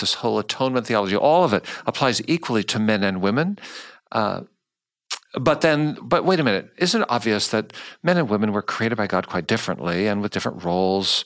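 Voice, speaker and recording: A man with a General American accent and a plain, everyday voice, medium in pitch, at a moderate pace with lively intonation, in a very clean recording with a silent background. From United States. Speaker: podcast host. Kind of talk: interview. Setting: studio.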